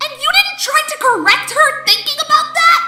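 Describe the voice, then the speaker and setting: A woman puts on a squeaky character voice at an extremely high pitch, with very wide pitch swings. She keeps a moderate pace as faint music plays in the background. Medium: audio drama.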